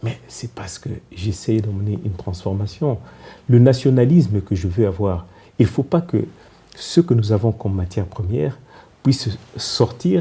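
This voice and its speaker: A man with a Congolese accent speaks slowly, leaving long, frequent pauses, his intonation lively. His voice is fairly low, dark, mellow and somewhat breathy. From DR Congo. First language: Kikongo (speaking French). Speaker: politician and former diplomat. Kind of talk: TV interview. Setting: TV studio. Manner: halting.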